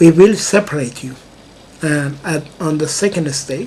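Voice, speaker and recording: Over noticeable background noise, a man with a slight non-native accent speaks at a fairly slow pace. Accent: slight foreign accent in English. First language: not English. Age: 60s. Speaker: music composer, vlogger. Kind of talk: personal video monologue. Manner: halting, with many fillers.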